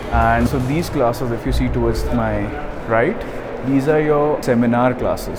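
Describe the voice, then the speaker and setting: A man talks at a fairly quick pace and medium pitch with fairly even intonation. Audible room echo and noticeable background noise fill the recording. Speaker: medical student giving campus tour. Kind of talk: vlog campus tour. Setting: walking around university campus.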